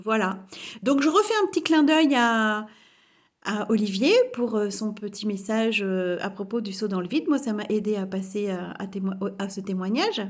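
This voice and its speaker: Medium pitch, ordinary pitch variation and a moderate pace from a woman. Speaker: spiritual coach. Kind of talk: vlog testimony. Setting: home kitchen. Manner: assertive, forceful; hesitant, many fillers.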